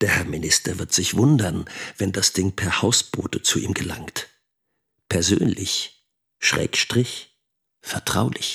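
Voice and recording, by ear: Slow and low-pitched, a man puts on a character voice with a husky, rough edge, vocal fry, a fairly bright tone, and ordinary pitch variation.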